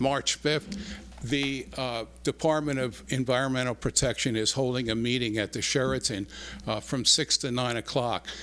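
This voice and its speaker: This man's voice is bright and sharp, with vocal fry and a medium pitch. He keeps a moderate pace and ordinary pitch variation. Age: 70s. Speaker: resident speaking at public comment. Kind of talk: public comment at township meeting. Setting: township board meeting hall with audience. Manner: halting, many fillers and repeats.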